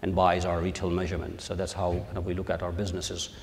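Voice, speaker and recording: In a room with audible echo, a man speaks with a very deep, low pitch. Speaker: measurement science executive. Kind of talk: conference panel talk. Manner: halting, many fillers.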